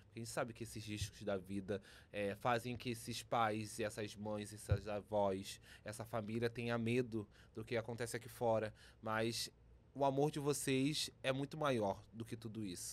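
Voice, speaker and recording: With an ordinary speaking voice, a man talks at a fairly slow pace with a medium pitch and fairly even intonation. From Minas Gerais, Brazil (Zona da Mata). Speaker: drag performer. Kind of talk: casual interview.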